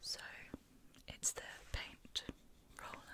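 The voice is whispering. Its tone is gentle. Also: woman. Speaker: ASMR creator. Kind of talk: whispered ASMR video. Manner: soft, gentle, whispered. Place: home room.

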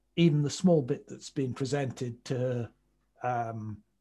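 This man's voice is somewhat breathy. His tone is dark and mellow. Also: quiet background. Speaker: presenter. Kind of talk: lecture. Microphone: video call.

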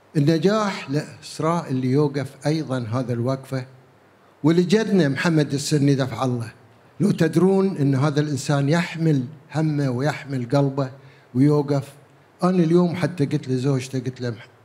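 A somewhat breathy man with a Gulf accent, fairly high in pitch, at a fairly slow pace with ordinary pitch variation. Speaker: theatre veteran. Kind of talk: panel remarks. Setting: stage with audience. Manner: jovial.

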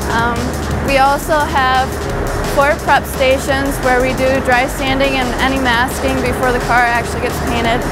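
Woman speaking at a fairly slow pace over loud background noise. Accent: American. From northern New York. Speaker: collision repair student. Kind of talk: guided tour to camera. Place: workshop.

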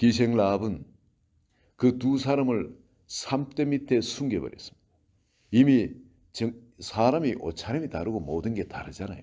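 A man's dark, mellow tone with lively intonation. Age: 60s. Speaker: pastor. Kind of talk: sermon.

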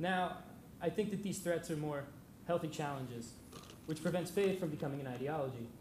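A man's fairly high voice with ordinary pitch variation and long, frequent pauses, set against light background noise and audible room echo. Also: fairly quick pace. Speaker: university student; speaker. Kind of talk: short prepared remarks. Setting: lecture hall with audience. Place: hall. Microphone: podium.

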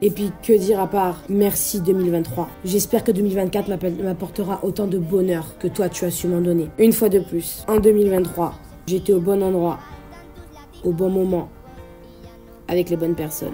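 A woman's upbeat voice with long, frequent pauses over music in the background. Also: moderate pace. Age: 20s. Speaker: vlogger. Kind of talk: spoken word year-in-review monologue. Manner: upbeat, emotional. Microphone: phone near.

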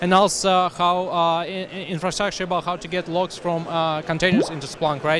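A man's high pitch in monotone, flat intonation, dry sound with no echo, noticeable background noise. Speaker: interviewee. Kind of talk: interview answer. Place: hall. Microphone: handheld.

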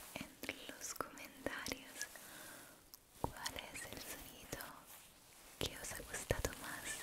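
A woman whispering, soft-spoken, at a very slow pace. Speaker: ASMR creator. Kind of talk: soft-spoken ASMR talk to viewers. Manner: soft ASMR whisper close to mic. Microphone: studio mic.

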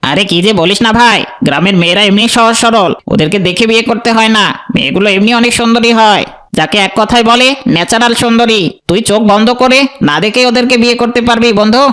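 Using a cartoonish character voice with a Spanish-free, high pitch, a man talks at a fairly quick pace and keeps his loudness very even. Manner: folksy, excitable.

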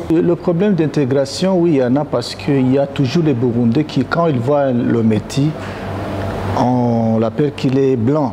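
Noticeable background noise sits behind a man speaking at a fairly slow pace. His pitch varies in an ordinary way. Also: medium pitch for a man. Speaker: association president. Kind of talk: panel debate. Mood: serious, earnest. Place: hall. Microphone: lapel.

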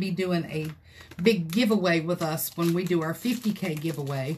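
A woman speaks with ordinary pitch variation. Light background noise sits behind her. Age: 50s. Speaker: craft video creator. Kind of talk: livestream tutorial. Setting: craft room livestream. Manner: animated. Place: home room. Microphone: phone near.

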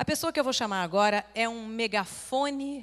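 A woman talks in a Brazilian accent against a quiet background. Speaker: forum host, journalist. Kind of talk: speaker introduction. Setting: stage with audience. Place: hall. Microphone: handheld.

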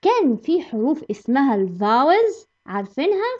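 A woman with an Egyptian accent speaks in a high pitch with very wide pitch swings. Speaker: English teacher. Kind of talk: tutorial. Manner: animated.

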